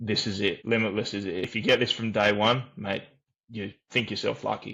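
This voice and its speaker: Fairly even intonation carries speech delivered at a moderate pace. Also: man, fairly low pitch for a man. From Australia. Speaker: program member sharing recovery story. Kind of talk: testimony. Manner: halting.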